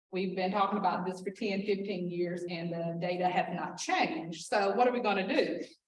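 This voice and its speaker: The speaker keeps a moderate pace and fairly even intonation, and audible echo from the room surrounds the voice. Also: woman. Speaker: school district administrator. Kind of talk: presentation. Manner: loud.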